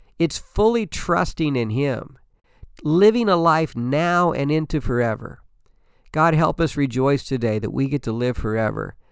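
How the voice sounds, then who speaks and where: Here is a man with an unremarkable speaking voice, pitched fairly high. His intonation is lively, and the recording is very clean with a silent background. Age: 60s. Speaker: pastor and podcast host. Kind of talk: devotional podcast talk.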